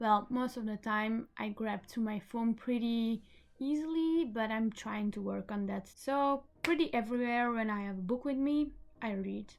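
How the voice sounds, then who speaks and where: A woman speaks with a Flemish Belgian accent at a fairly high pitch. Her pace is moderate and her pitch variation is ordinary. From Belgium, Flemish-speaking part. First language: Dutch (Flemish). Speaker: book vlogger. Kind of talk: casual vlog talk. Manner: hesitant, with fillers.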